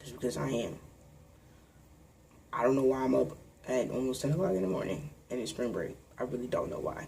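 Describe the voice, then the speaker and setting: A man puts on a raspy character voice at a medium pitch, talking fairly quickly but with long, frequent pauses, and there is audible echo. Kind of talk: casual.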